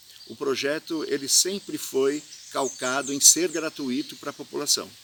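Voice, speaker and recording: A man's fairly high voice moves at a very slow pace, with noticeable background noise around it. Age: 60s. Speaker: festival organizer. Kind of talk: video statement. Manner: hesitant, many fillers.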